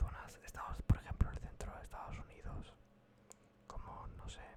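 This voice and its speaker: Whispering in a calm tone, a man speaks. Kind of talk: ASMR soft-whispered explainer about politics. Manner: soft-spoken, calm, whispered.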